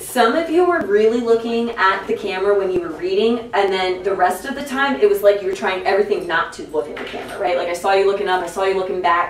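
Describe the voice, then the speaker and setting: Spoken at a very fast pace, the voice carries audible room echo over light background noise. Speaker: teacher coaching student broadcast crew. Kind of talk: classroom instruction. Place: studio.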